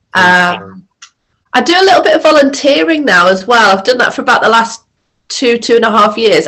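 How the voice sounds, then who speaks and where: An unremarkable speaking voice from a woman, fairly high in pitch, with lively intonation at a moderate pace. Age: 40s. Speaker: apprenticeship training worker, former retailer. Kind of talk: casual chat.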